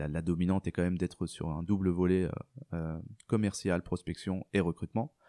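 In a very clean recording with a silent background and a dry, close sound with no echo, a man speaks at a moderate pace in a very deep, low pitch, with a dark, mellow tone and fairly even intonation. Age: 30s. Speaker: recruiter. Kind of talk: interview conversation.

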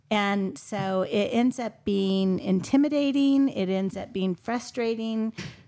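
Speaking fairly slowly at a medium pitch with ordinary pitch variation, a woman uses an ordinary speaking voice on a very clean recording with a silent background. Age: 50s. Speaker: real estate agent. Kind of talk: roundtable discussion.

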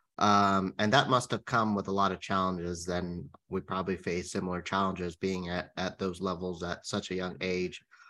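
A man talks at a moderate pace in a very deep, low pitch with monotone, flat intonation. His tone is bright and sharp against a quiet background. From California. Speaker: podcast co-host, interviewer. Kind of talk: interview.

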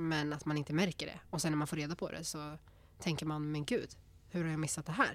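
Very deep, low female voice, monotone and flat, at a fairly quick pace. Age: 20s. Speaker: psychology student. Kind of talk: casual chat.

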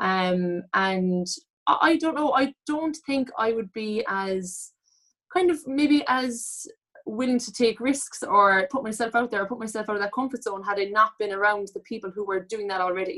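A woman with a Cork accent, fairly high-pitched with a bright, sharp tone, lively intonation and a moderate pace. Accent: Cork Irish. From Cork, Ireland. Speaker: online fitness and lifestyle coach. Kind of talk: casual interview chat.

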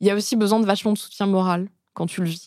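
A woman talks in a normal speaking voice at medium pitch, with fairly even intonation and a moderate pace. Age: 30s. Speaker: journalist and author. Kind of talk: casual chat. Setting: studio.

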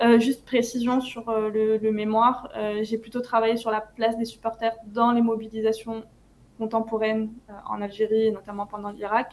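Monotone, flat intonation at a moderate pace. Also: woman. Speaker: anti-racist activist. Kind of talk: interview.

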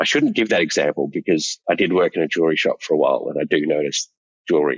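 A man at a very fast pace with an Australian accent. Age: 40s. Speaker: male escort. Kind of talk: interview.

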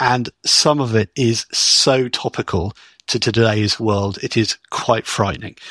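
In a British accent, a man speaks at a fairly slow pace and medium pitch, with a bright, sharp tone and ordinary pitch variation. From Britain. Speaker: business technology consultant. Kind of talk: interview.

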